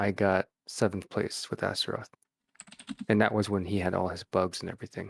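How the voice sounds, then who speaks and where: Soft-spoken and with an American accent, a man talks with fairly even intonation and long, frequent pauses in a dry, close sound with no echo. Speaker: fighting game tournament player. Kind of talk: casual interview chat. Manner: halting, hesitant.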